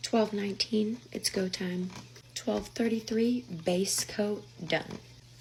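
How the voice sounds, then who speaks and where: Lively intonation at a very slow pace, with noticeable background noise. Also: woman. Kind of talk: casual nail tutorial voiceover.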